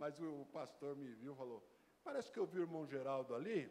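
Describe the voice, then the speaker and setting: Speaking at a fairly quick pace, a man uses a fairly high pitch. The pitch swings very widely from line to line. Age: 70s. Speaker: visiting pastor. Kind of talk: church greeting testimony. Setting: church.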